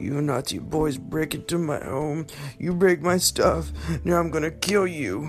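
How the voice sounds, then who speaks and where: A creaky, put-on character voice at middle pitch and moderate pace, with clear background noise. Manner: menacing.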